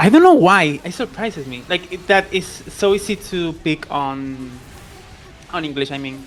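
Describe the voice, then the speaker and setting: Over noticeable background noise, the speaker uses a Spanish accent at a moderate pace with long, frequent pauses. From Spain, Andalusia. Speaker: tournament commentator. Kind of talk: casual chat.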